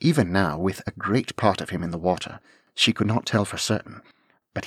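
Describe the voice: Plain reading aloud with ordinary pitch variation over a quiet background.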